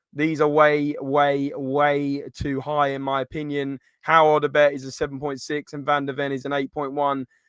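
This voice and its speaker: A man speaks with an English accent in a fairly high voice. The background is quiet. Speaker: football podcast host. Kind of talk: live stream match review.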